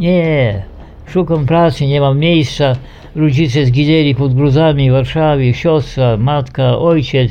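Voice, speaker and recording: A man's fairly high-pitched voice with fairly even intonation, very even loudness, and noticeable background noise. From Poland, Eastern Borderlands. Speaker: war veteran. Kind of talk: testimony.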